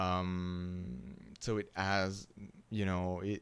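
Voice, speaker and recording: Heard in a very clean recording with a silent background, a man speaks with a French accent. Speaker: university lecturer. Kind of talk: lecture. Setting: live stream. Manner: halting, many fillers.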